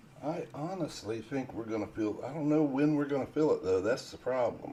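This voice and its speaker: A calm, soft-spoken man with a dark, mellow tone, a fairly high pitch, ordinary pitch variation and a fairly quick pace. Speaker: day trader, live stream host. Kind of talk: casual chat during live trading stream. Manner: quiet, calm.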